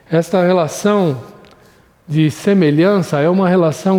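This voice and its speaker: Noticeable background noise runs beneath speech at a fairly slow pace. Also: man. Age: 60s. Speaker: Sunday school Bible teacher. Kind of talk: recorded Bible lesson.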